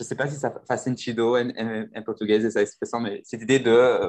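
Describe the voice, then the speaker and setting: With monotone, flat intonation, a man speaks at a medium pitch and a fairly quick pace. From rural France. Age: 20s. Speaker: podcast host and French teacher. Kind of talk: casual chat.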